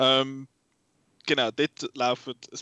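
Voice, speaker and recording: The speaker is a man with a Swiss accent. His pitch is fairly high. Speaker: film podcast host. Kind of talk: casual chat.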